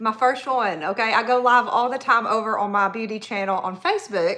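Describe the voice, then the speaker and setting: Fairly quick speech from a woman with a Southern accent, her fairly high voice bright and sharp in tone. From Tennessee, US South. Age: 40s. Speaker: makeup artist and hairstylist. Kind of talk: live makeup tutorial. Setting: livestream. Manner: casual, chatty.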